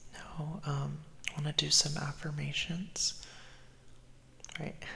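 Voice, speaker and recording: A man's fairly high-pitched voice at a very slow pace, over noticeable background noise. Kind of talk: ASMR affirmations video, casual talk to camera. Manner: soft-spoken, calm, comforting.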